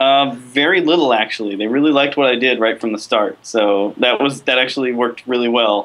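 Speaking at a fairly quick pace, a man leaves hardly any pauses. His loudness stays very even and his pitch variation is ordinary. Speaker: video game composer. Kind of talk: interview. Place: home room. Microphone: video call.

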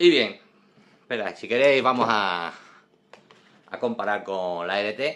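A man uses a normal speaking voice at a fairly low pitch with ordinary pitch variation. He goes at a fairly slow pace, and his loudness swings a lot. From Spain. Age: 40s. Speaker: perfume reviewer. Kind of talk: product review video; casual review vlog. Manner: casual, frequent fillers. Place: home room. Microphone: phone near.

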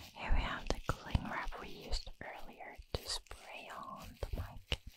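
Against noticeable background noise, the words are whispered at a very slow pace. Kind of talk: ASMR whispered sniffing and triggers video. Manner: soft, whispery, repetitive.

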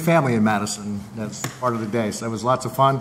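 A man at a fairly quick pace, with ordinary pitch variation and light background noise. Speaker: mayor. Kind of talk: council meeting report. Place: hall. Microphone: podium.

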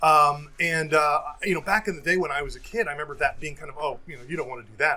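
Light noise runs in the background. Over it, a man talks very fast. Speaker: IT professional and sales engineer. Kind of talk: casual chat. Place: home room. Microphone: earbuds.

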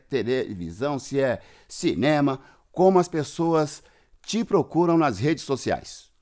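A man's fairly high voice at a fairly slow pace, very wide pitch swings, quiet background. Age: 50s. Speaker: podcast host. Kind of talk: casual interview. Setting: remote call. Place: studio.

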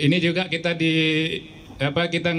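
A man speaks at a moderate pace with light background noise behind him. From Aceh, Indonesia. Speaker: telecom sales officer. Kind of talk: press event speech. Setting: media gathering event.

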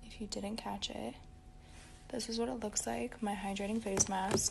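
Loud noise fills the background. A woman speaks at a moderate pace through it. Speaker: beauty vlogger. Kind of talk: casual skincare tutorial chat.

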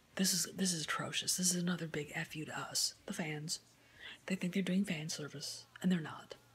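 A woman's fairly low, somewhat breathy voice moves at a moderate pace over light background noise. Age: 50s. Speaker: YouTuber film commentator; movie fan vlogger. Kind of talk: opinion rant. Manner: animated. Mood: annoyed, critical. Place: home room. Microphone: phone near.

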